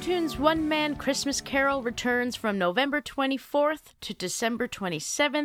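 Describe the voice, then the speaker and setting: Over music in the background, a woman speaks at a moderate pace with hardly any pauses. Her voice is high-pitched and her intonation lively. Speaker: podcast host. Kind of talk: interview, podcast.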